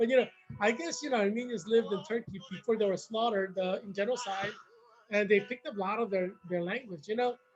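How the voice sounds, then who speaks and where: With music in the background, the speech runs at a very fast pace and shows ordinary pitch variation. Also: man, high pitch for a man. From South Korea, moved to US as a child. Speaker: political candidate. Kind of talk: casual monologue. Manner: rambling with many fillers; animated.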